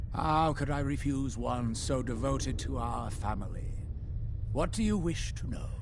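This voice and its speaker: A man does a put-on character voice at a moderate pace over loud background noise. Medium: game stream. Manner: smooth, condescending, manipulative.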